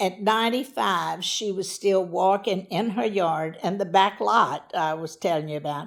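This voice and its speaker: A woman talks at a fairly slow pace and medium pitch, with ordinary pitch variation. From US South, Louisiana (Church Point). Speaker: interviewee telling her life story. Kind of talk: life story interview. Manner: loud.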